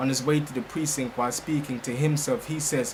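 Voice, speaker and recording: Fairly quick, monotone, flat delivery from a man at a fairly high pitch, with noticeable background noise. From Jamaica. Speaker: spoken word poet. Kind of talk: spoken word poetry performance.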